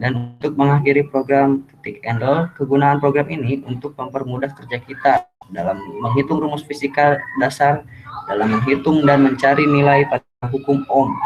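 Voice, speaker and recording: Over noticeable background noise, a soft-spoken man with a fairly high pitch talks at a moderate pace with fairly even intonation. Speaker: university student. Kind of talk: tutorial. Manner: halting. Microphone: too quiet.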